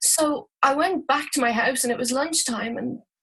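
A woman with an Irish accent speaks at a moderate pace in a high voice, her pitch rising and falling in an ordinary way. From Ireland, Dublin. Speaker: university lecturer. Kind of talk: interview. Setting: video call.

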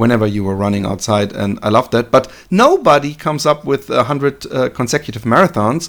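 A man speaks fairly quickly at a medium pitch with lively intonation. It is a very clean recording with a silent background. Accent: German. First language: German. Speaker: podcast host. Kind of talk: interview. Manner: halting.

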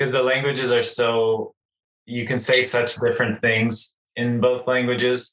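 With an American accent, a man talks at a moderate pace. His intonation stays monotone and flat. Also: medium pitch for a man. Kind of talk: interview. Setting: video call.

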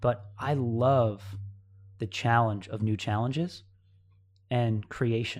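A man with an American accent at a very slow pace, with long, frequent pauses and fairly even intonation, on a very clean recording with a silent background. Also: medium pitch for a man. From upstate New York. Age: 30s. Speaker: CrossFit athlete. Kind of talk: casual chat.

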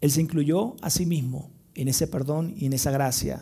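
A man talks at a moderate pace with ordinary pitch variation. His tone is dark and mellow, and somewhat breathy. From Venezuela, Maracaibo (Zulia). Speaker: pastor. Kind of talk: sermon. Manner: animated storytelling.

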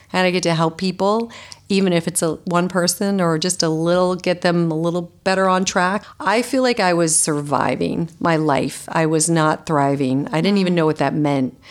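In a very clean recording with a silent background, a woman talks in an ordinary speaking voice at a fairly low pitch, with ordinary pitch variation and a moderate pace. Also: very even loudness. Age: 50s. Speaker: holistic nutritionist and author. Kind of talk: interview.

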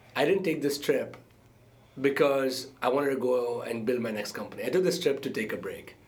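There is audible room echo around the speaker. A man talks at a moderate pace. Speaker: entrepreneur and startup investor. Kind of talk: interview conversation.

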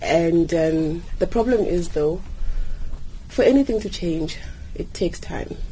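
Audible room echo and noticeable background noise surround a woman speaking at a moderate pace with ordinary pitch variation. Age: 30s. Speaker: neurosurgeon. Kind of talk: radio interview.

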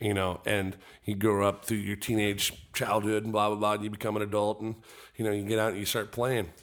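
Recorded very cleanly with a silent background, a man with an American accent talks at a fairly quick pace in a fairly low pitch, his intonation monotone and flat. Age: 30s. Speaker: musician and drone cameraman. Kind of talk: casual chat.

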